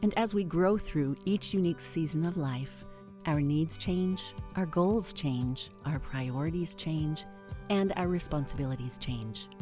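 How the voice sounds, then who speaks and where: A woman with a very deep, low pitch and lively intonation at a fairly slow pace, with music in the background. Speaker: podcast host for midlife women. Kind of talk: podcast intro monologue, scripted-style narration.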